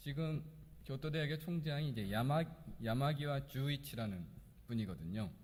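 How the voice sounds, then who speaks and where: Pausing long and often, a man with a somewhat breathy, fairly high voice speaks at a moderate pace with lively intonation, and the room echo is audible. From Korea. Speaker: pastor. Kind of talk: sermon. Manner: hesitant, with fillers.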